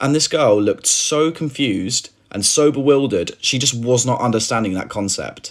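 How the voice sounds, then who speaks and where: A man with a British accent, medium pitch and ordinary pitch variation, at a moderate pace with hardly any pauses. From United Kingdom. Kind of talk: casual anecdote.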